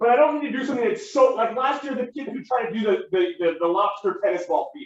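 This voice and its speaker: A man talks at a very fast pace in an extremely high pitch. His voice makes very wide pitch swings. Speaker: teacher. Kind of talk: classroom lecture.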